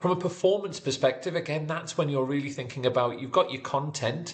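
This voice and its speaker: A man with a Geordie accent, somewhat breathy, with ordinary pitch variation. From northern England, Newcastle area. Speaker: sports physiotherapy educator. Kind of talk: online tutorial. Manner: fast; few pauses.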